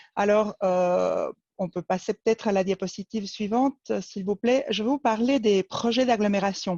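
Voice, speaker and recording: A woman with an Argentine accent, medium pitch and a dark, mellow tone at a moderate pace, dry and close with no echo over a quiet background. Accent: noticeable Argentine accent in French. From Argentina, Buenos Aires. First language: Spanish (speaking French). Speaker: cantonal urban planning official. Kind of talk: webinar presentation. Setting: online webinar. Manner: many hesitations (euh).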